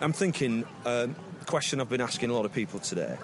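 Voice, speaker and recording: Fairly fast male speech amid noticeable background noise. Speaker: roving reporter. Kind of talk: casual street interview questions.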